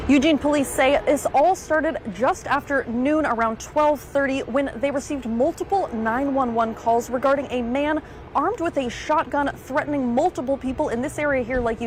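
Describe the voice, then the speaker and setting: With music in the background, the speaker moves at a fairly quick pace, using ordinary pitch variation and hardly any pauses. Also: woman. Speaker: news anchor and reporter. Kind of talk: live TV news report.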